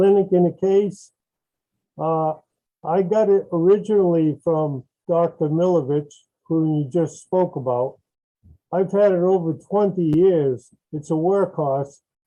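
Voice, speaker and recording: A man speaks at a high pitch with a dark, mellow tone. His pitch variation is ordinary, broken by long, frequent pauses. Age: 70s. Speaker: user of the device. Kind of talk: testimony.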